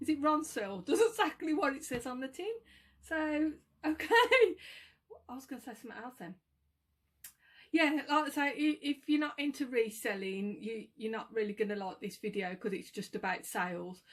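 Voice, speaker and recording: A woman's high voice in a Birmingham accent, very wide pitch swings and big shifts in loudness, moderate pace with long, frequent pauses, on a very clean recording with a silent background. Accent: Brummie. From Birmingham, England. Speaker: part-time eBay reseller and YouTuber. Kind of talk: casual vlog chat. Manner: rambling, chatty.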